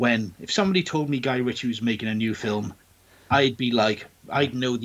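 Someone reads aloud in a natural voice, with pitch that varies in an ordinary way.

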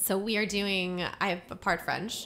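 Intonation remains fairly even. The tone comes across bright and sharp. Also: woman. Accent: American. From US, Maryland. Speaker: occupational therapist and singer-songwriter. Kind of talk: casual interview. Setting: studio.

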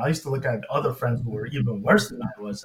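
Somewhat breathy male speech with ordinary pitch variation. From Inglewood, California. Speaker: cancer research scientist. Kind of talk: personal testimony.

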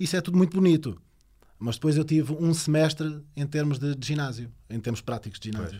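A man talks at a fairly quick pace in a dark, mellow tone with lively intonation. The recording is very clean with a silent background. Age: 30s. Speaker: personal trainer. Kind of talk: casual chat.

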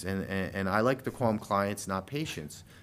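A man talks with a very deep, low pitch. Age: 40s. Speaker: chiropractor. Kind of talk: casual chat.

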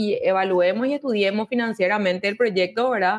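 This woman has an unremarkable speaking voice with ordinary pitch variation. She talks at a fairly quick pace. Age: 30s. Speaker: mayoral candidate. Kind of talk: interview.

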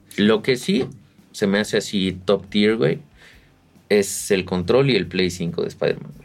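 With a Mexican accent, a man speaks fairly slowly in a fairly low voice, with ordinary pitch variation, big swings in loudness and long, frequent pauses. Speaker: podcast co-host. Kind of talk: casual chat. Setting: video podcast recording.

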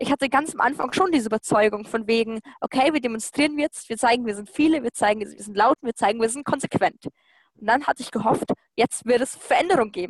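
A woman talks very fast in a fairly high voice with ordinary pitch variation. The sound is dry and close, with no echo. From Lower Bavaria, Germany. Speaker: climate activist. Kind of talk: interview. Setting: video call.

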